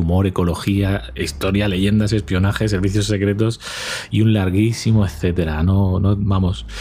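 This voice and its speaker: A man talks at a moderate pace in a fairly low pitch with ordinary pitch variation. Noticeable background noise can be heard. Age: 40s. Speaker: podcast host. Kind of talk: casual monologue.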